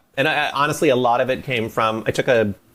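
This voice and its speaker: A man with an American accent. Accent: slight Scranton accent, varies. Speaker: voice actor. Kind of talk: interview. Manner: animated.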